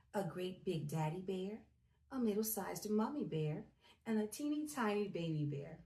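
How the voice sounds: Heard here is a natural reading voice.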